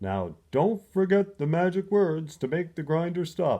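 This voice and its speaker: A man puts on a character voice with a high pitch. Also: moderate pace. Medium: read story.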